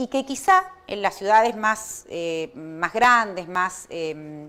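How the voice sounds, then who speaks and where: Lively intonation in a woman's voice of medium pitch. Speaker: law professor. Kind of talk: lecture. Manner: fast.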